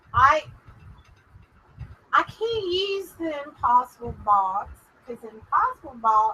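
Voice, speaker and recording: A woman with a strong Texas accent speaks very slowly in a raised, projected voice. Her pitch swings very widely. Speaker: paranormal show host. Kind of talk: live stream chat with spirit communication session. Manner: careful enunciation.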